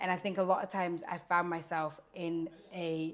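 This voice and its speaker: This voice carries a British accent. The background is silent and the recording very clean. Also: woman. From Scotland. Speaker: care worker. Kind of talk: interview.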